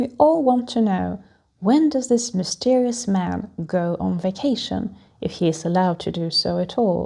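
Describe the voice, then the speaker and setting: At a moderate pace, a woman speaks at a medium pitch with a dark, mellow, calm and soothing tone and lively intonation. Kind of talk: calming travel talk for flyers. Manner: calm, soothing.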